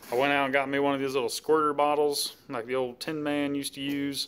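The pace of this man's speech is fairly quick. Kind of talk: casual show-and-tell vlog. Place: garage. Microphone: phone near.

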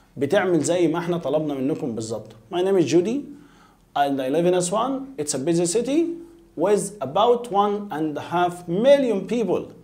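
The speaker has an Egyptian accent and very wide pitch swings at a moderate pace. Faint music plays in the background. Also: man, high pitch for a man. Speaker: English teacher. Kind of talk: lecture. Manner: repetitive, drilling pronunciation. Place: studio.

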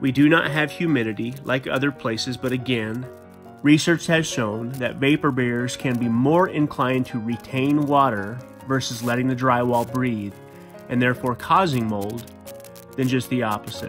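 Backed by music, the man's voice shows ordinary pitch variation. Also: moderate pace. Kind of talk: explanatory DIY narration.

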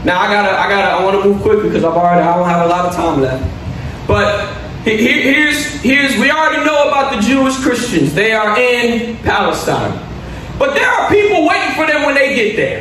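Pitched extremely high with very wide swings, a man talks fairly quickly amid audible room echo and light background noise. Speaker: pastor. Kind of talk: sermon. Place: church. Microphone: podium.

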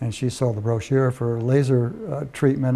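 This man talks at a moderate pace, his voice somewhat breathy with a dark, mellow tone. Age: 70s. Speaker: patient. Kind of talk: testimony. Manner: halting. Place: office. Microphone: lapel.

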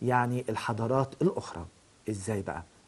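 A man with an Egyptian accent at a fairly slow pace. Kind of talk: lecture. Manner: halting.

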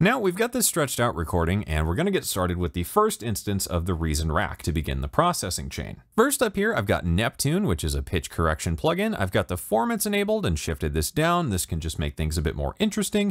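A man with a low pitch talks at a fairly quick pace with few pauses and very wide pitch swings. The recording is very clean, with a silent background.

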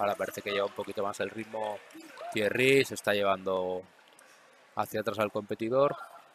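Over noticeable background noise, a man with a fairly low pitch talks at a fairly quick pace, his intonation fairly even and broken by long, frequent pauses. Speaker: combat sports commentator. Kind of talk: live sports commentary of a karate bout. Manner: matter-of-fact, explanatory, steady.

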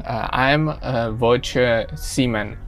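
A man at a very slow pace, with faint music in the background. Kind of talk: casual vlog chat. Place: boat. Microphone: phone near.

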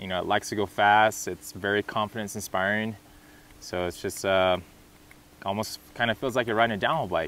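The speech comes at a fairly quick pace in an American accent with fairly even intonation and a dry sound with no echo. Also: man. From California, US. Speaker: professional mountain bike racer. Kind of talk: promotional interview monologue. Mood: relaxed, enthusiastic about bike. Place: open country.

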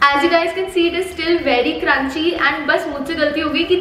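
A woman speaks in a high pitch. Audible room echo and light background noise surround her voice. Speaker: food vlogger. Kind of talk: casual vlog chat. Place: kitchen. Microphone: camera far.

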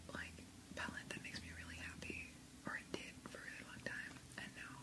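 The speaker is a woman who talks at a moderate pace. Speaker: ASMR creator. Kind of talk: ASMR whisper ramble; casual talk to camera. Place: home room.

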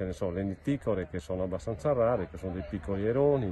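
Speaking at a fairly quick pace, a man with a fairly low pitch is heard over light background noise. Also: dry sound with no echo. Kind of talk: casual selfie vlog report. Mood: pleased, calm. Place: waterside. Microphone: phone near.

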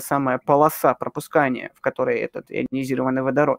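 A man talks at a moderate pace, with a quiet background and a dry sound with no echo. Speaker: amateur astronomer and astrophotographer; guest. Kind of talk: casual live Q&A answering viewer questions. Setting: live stream, online video call. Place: home room. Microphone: webcam.

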